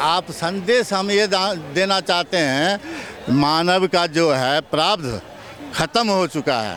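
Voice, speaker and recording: A man's high-pitched voice with very even loudness and ordinary pitch variation, amid noticeable background noise. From Bihar, India. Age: 60s. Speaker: laborer and farmer interviewed in street. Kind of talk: street interview. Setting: outdoors on street. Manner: animated.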